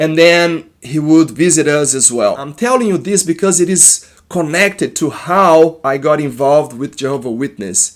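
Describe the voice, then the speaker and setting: In a very clean recording with a silent background, a man with a Brazilian accent and a fairly high pitch talks at a moderate pace with ordinary pitch variation and hardly any pauses. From Brazil, Minas Gerais. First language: Portuguese. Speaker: therapist. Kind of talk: personal testimony. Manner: halting.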